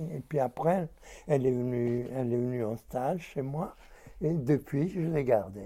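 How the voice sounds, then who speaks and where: A man's dark, mellow voice at medium pitch, fairly slow in pace, with ordinary pitch variation. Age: 80s+. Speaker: textile shop owner. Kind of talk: casual chat.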